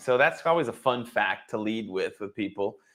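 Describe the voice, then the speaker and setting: A man with a plain, everyday voice, lively intonation and a moderate pace, on a very clean recording with a silent background. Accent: American. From Boston area. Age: 40s. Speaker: former baseball player turned wealth advisor. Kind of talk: interview. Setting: live stream.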